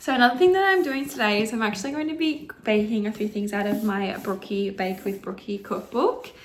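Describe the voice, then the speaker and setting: A woman speaks with an Australian accent, and there is noticeable background noise. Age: 20s. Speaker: indie author. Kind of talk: casual talk to camera.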